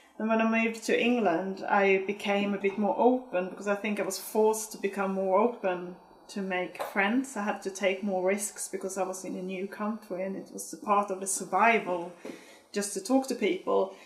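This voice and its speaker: Noticeable background noise sits under speech delivered at a moderate pace with fairly even intonation. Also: woman, medium pitch for a woman. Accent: Swedish. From Sweden. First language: Swedish. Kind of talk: documentary interview.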